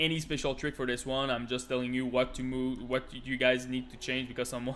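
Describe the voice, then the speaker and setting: With a French accent, a man talks at a fairly quick pace in a medium pitch. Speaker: gaming youtuber. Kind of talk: tutorial. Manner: halting.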